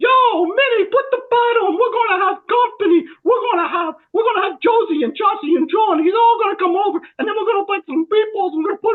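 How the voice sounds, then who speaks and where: A put-on character voice in a New York accent, extremely high-pitched, very fast, with hardly any pauses. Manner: brash, fast-talking.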